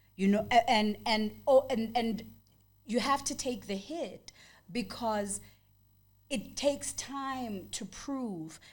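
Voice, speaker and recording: A woman talks at a very slow pace with long, frequent pauses. Her fairly high pitch carries lively intonation and a somewhat breathy quality. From South Africa, Johannesburg (returned from exile as teen). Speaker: poet and actress. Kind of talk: interview. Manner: animated.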